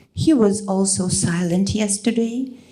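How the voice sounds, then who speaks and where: With audible room echo, a woman speaks very slowly at medium pitch and with ordinary pitch variation. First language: Russian. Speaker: poet. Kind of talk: poetry reading.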